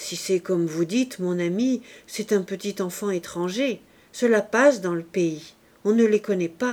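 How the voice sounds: Here is a natural reading voice. The pitch moves in an ordinary way.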